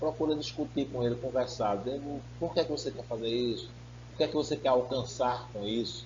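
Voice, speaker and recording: In a room with audible echo, a man of medium pitch speaks at a fairly quick pace with fairly even intonation. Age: 50s. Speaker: pastor. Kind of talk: sermon.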